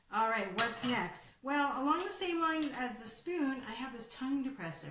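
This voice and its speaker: A woman's voice is heard against noticeable background noise. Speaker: presenter. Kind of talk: tutorial. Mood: cheerful, playful. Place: home room. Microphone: webcam.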